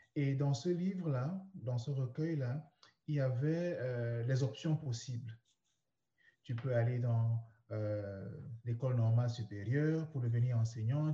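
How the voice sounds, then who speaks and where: A somewhat breathy voice with a dark, mellow tone. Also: man. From Cameroon (Douala). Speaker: personal development coach. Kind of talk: interview, personal story.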